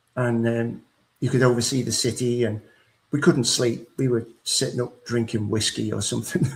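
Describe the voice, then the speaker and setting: Here a man speaks at medium pitch, somewhat breathy. His intonation is fairly even and his pace moderate. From England, Liverpool. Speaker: author and speaker on grief. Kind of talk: personal testimony in an interview.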